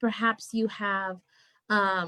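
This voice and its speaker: A woman's fairly high voice, a normal speaking voice, with fairly even intonation and a dry, close sound with no echo. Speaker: spiritual coach. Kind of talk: interview. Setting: live video stream.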